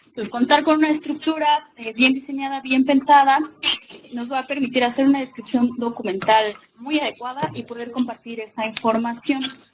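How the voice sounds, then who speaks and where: A woman speaks at a fairly quick pace in a high pitch with fairly even intonation. Her loudness swings widely, and there is noticeable background noise. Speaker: librarian and webinar presenter. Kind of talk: lecture. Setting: webinar with live and remote audience.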